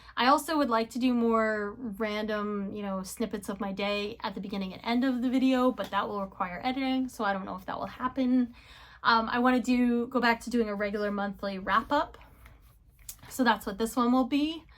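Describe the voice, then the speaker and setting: A woman speaks in a plain, everyday voice at a fairly high pitch. Her pace is fairly quick. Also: ordinary pitch variation. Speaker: knitting and book vlogger. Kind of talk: casual monthly wrap-up vlog.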